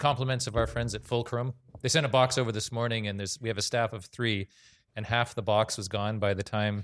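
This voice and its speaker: Over a very clean recording with a silent background, a man talks at a moderate pace, his pitch fairly low and his intonation fairly even. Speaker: panel moderator, film society director. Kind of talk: panel moderation. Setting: live panel with audience. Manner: speaks unamplified to audience.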